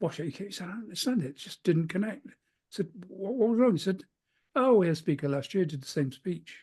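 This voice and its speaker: Someone with a British accent speaks at a very fast pace. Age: 70s. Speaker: keynote speaker. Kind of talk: interview.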